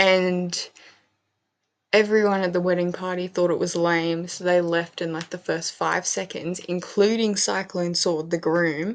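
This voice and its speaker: Quiet and fairly slow, a woman talks in a fairly low pitch with monotone, flat intonation. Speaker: gaming youtuber. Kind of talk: casual gameplay commentary. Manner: quiet, hushed; casual with many fillers.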